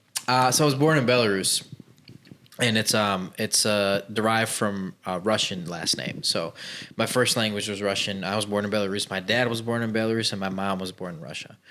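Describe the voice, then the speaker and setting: Speaking at a fairly quick pace with an American accent, a man has a fairly low pitch, a bright, sharp tone and ordinary pitch variation. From Chicago, US Midwest. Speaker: business owner, former plumber. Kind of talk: podcast interview. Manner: casual, uses fillers.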